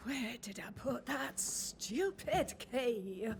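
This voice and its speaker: A woman's raspy, fairly high put-on character voice, very slow with very wide pitch swings, over clear background noise. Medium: video game. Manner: old-fashioned, formal phrasing.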